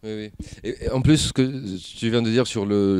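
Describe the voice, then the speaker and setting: Medium pitch from a man, with ordinary variation in pitch. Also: very clean recording, silent background. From Tunisia. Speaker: actor. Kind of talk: interview. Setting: film festival. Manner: halting.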